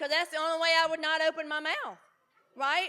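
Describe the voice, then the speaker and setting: A woman's raised, projected voice in a Southern US accent, animated, with a bright, sharp tone. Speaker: recovery speaker. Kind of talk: speaker talk at a conference. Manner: loud.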